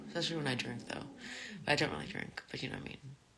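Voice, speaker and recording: A woman speaks softly. She is mumbling. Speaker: live streamer. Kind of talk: casual chat. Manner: soft-spoken.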